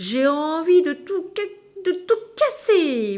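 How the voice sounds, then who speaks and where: In a put-on character voice, the speaker sounds gruff at an extremely high pitch, swinging very widely in pitch at a very slow pace. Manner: stammering, angry.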